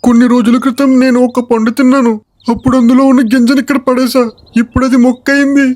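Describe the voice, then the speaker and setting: Putting on a character voice, a man speaks at a moderate pace in an extremely high pitch with monotone, flat intonation. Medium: comedy sketch. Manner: deferential.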